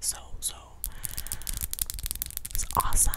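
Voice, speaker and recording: A woman is whispering. Her pace is fairly slow. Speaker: video creator. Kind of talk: casual vlog chat, soft ASMR-style talk. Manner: soft close-mic ASMR talking. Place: home room. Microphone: studio mic.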